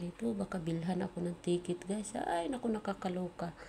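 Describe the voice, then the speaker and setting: Soft-spoken, a woman talks fairly quickly at a medium pitch over noticeable background noise. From Philippines. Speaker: cooking vlogger. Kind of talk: cooking tutorial. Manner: casual.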